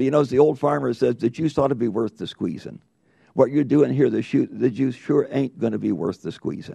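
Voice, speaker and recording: A man's medium-pitched voice in an American accent, with vocal fry, ordinary pitch variation and a fairly quick pace. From US, rural farm. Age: 80s+. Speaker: congressman. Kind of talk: committee hearing questioning. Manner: emphatic.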